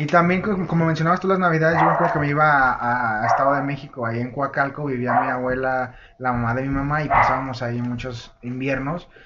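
There is audible room echo and noticeable background noise as a man with a fairly high pitch speaks at a fairly quick pace with hardly any pauses and ordinary pitch variation. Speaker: podcast co-host, freelance chef. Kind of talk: casual chat. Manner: animated.

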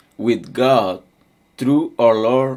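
A man talks with a non-native accent. His pitch is medium. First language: not English. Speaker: preacher. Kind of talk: sermon. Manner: halting.

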